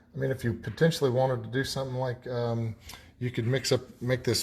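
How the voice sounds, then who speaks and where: Mumbling, somewhat breathy male voice with monotone, flat intonation. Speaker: painting instructor. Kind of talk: tutorial.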